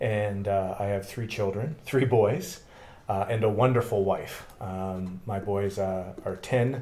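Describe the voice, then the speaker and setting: This man has a Canadian accent and a dark, mellow, somewhat breathy tone. He talks at a very slow pace with fairly even intonation, and the room echo is audible. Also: fairly low pitch for a man. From Canada, Thunder Bay, Ontario. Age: 40s. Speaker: political candidate. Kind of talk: interview. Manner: halting.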